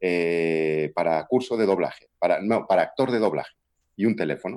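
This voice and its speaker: A man with a Galician accent at a moderate pace, ordinary pitch variation, quiet background. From Galicia, Spain (Vigo). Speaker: voice actor and dubbing director. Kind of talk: interview.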